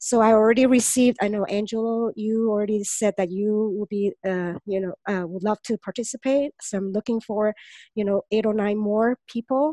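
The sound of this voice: At a moderate pace, a woman speaks with fairly even intonation and a dark, mellow tone, the sound dry and close with no echo.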